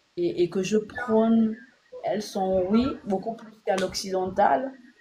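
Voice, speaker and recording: The woman's voice sits at a medium pitch. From Gabon. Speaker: blogger / online commentator. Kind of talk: casual direct-to-camera monologue. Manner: hesitant, many fillers.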